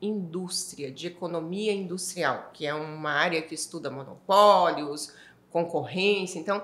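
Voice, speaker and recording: A woman's fairly slow speech with ordinary pitch variation, audible room echo and noticeable background noise. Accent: Minas Gerais. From Minas Gerais, Brazil (Ituiutaba). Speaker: energy industry association executive. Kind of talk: interview conversation.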